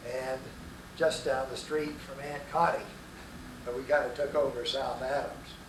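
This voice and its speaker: A man with a fairly high pitch and an American accent talks at a moderate pace in a monotone, flat intonation, with audible room echo and noticeable background noise. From Texas, Fort Worth. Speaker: grandfather telling life story. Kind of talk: oral history interview. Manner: hesitant with frequent uh.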